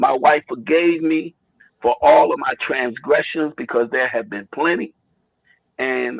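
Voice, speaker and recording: A man is speaking. His pace is fairly slow. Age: 60s. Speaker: caller. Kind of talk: casual chat. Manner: halting.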